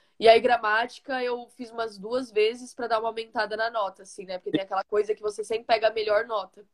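A woman with a fairly high pitch talks at a very fast pace, hardly pausing. Her intonation is monotone and flat, while her loudness swings widely. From Brazil, São Paulo (Osasco). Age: 20s. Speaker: college soccer player. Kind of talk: interview.

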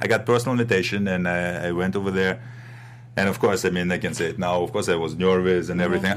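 A man with a Russian accent over noticeable background noise. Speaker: bodybuilder and action film actor. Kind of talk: interview. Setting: studio.

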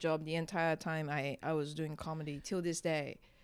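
Here a woman is speaking. The recording is very clean, with a silent background. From Singapore. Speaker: stand-up comedian. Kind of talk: casual interview. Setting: hotel room.

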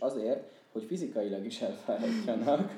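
Speaking at a moderate pace, a man uses a normal speaking voice with lively intonation. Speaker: PhD student and former student organizer. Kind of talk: casual interview chat.

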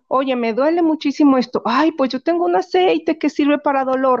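In a Mexican accent, a woman speaks at a moderate pace with a high pitch and ordinary pitch variation against a quiet background. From Mexico, Guanajuato. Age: 40s. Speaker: essential oils seller and massage therapist. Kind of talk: casual interview.

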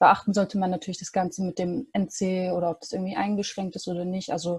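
A woman's somewhat breathy, dark, mellow voice at a medium pitch and fairly quick pace, on a very clean recording with a silent background. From Stuttgart, Germany. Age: 20s. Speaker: university student. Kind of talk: interview. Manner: hesitant with many fillers.

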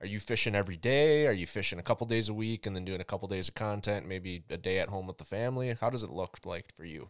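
A man's fairly low voice with a Minnesotan accent, very fast and with hardly any pauses, with ordinary pitch variation. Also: very clean recording, silent background. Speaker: podcast host. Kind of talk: casual interview chat.

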